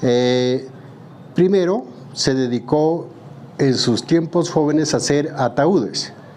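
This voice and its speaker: A man is speaking with ordinary pitch variation. Noticeable background noise runs underneath. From southern Colombia, Pupiales, Nariño. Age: 60s. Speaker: woodworker. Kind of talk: interview testimony.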